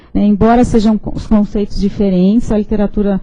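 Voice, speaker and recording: Somewhat breathy and dark, mellow in tone, a woman's fairly high voice moves at a moderate pace through audible room echo. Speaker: professor. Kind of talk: lecture. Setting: lecture hall with audience, streamed online.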